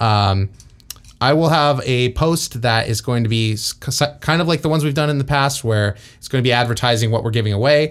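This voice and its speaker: Here a man speaks in an unremarkable speaking voice with ordinary pitch variation. His pace is fairly quick. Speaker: podcast host. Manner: joking, bantering.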